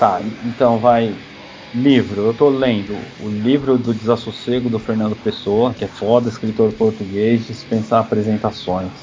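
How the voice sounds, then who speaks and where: A man talks in a medium pitch and flat, monotone delivery at a moderate speed while noticeable background noise carries on. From São Paulo, south zone. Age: 40s. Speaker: punk musician. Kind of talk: casual chat.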